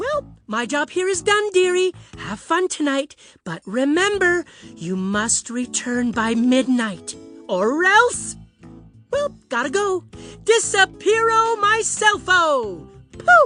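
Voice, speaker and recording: A female-sounding, cartoonish character voice speaks fairly slowly at a high pitch over faint music in the background. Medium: puppet show. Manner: chirpy, motherly, says dearie.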